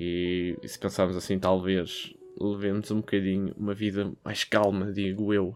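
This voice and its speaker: A fairly low-pitched man with a European Portuguese accent, flat monotone intonation and a fairly slow pace, music in the background. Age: 20s. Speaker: podcast host. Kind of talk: solo podcast monologue. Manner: casual, hesitant with fillers.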